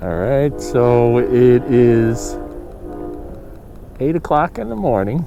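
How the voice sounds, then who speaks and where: Over music in the background, a man speaks at a very slow pace and medium pitch, with ordinary pitch variation and long, frequent pauses. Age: old. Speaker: fishing vlogger. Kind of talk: casual solo fishing commentary. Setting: outdoors on a lake.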